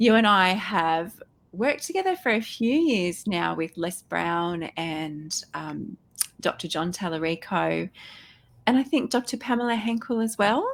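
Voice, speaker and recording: Speaking at a fairly slow pace with an Australian accent, a woman uses lively intonation at a medium pitch. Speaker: podcast host. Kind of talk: interview.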